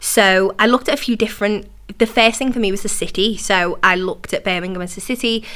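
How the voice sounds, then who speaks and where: At a very fast pace, a woman with a Liverpool accent speaks in a bright, sharp tone at a medium pitch. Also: fairly even intonation. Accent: Liverpool (Scouse) English. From Liverpool, England. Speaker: entrepreneur, university alumna. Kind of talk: interview conversation.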